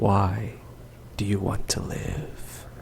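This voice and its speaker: A man speaks softly in a put-on character voice, his pitch fairly low. Clear background noise runs underneath. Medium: actual play. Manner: distant.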